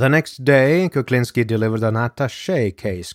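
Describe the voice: The pitch shifts in an ordinary way. The delivery is plain reading aloud.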